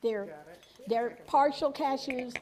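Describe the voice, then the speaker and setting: A loud woman's voice. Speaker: cooking instructor. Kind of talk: cooking demonstration.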